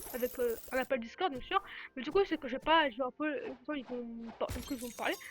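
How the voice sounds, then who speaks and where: Very fast speech over noticeable background noise. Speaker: gaming YouTuber. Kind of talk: gameplay commentary. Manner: animated.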